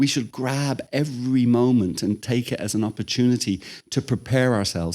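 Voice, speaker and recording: Medium-pitched male voice with a dark, mellow tone at a moderate pace, very clean recording with a silent background. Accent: Irish. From Ireland. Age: 60s. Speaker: spiritual teacher. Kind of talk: lecture. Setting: temple room with audience. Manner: conversational.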